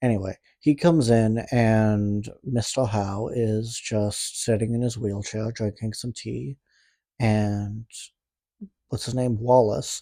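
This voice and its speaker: On a very clean recording with a silent background, a man with a medium pitch and a dark, mellow tone speaks very slowly with fairly even intonation. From Canada. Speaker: movie reaction youtuber. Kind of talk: casual movie recap. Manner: casual, rambling asides.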